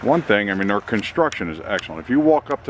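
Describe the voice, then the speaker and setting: Against noticeable background noise, a man speaks at a fairly low pitch with a dry sound and no echo. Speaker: camper salesman. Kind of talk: sales walkaround commentary. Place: street. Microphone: phone near.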